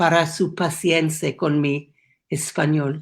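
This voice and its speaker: A woman with an English accent speaks at a very slow pace on a very clean recording with a silent background. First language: English (speaking Spanish). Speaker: education program founder. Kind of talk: prepared speech. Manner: halting.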